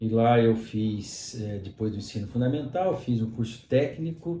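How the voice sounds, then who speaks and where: The man's medium-pitched voice has a dark, mellow tone and is somewhat breathy, with audible room echo around it. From Brazil, São Paulo state near Minas Gerais (Mococa). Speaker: pharmacist and university lecturer. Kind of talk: interview conversation. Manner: frequent fillers (né, é).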